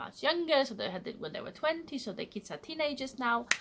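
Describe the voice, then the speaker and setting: With a Polish accent, a woman speaks in a bright, sharp tone and lively intonation. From Poland. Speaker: vlogger. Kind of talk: casual vlog monologue. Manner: direct, blunt.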